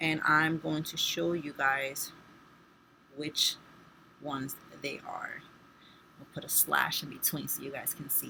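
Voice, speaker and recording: A woman speaks at a fairly slow pace with a very deep, low pitch and vocal fry. Her tone is bright and sharp. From Spanish-speaking background. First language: Spanish. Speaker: nursing student. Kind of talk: tutorial. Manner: casual, with fillers.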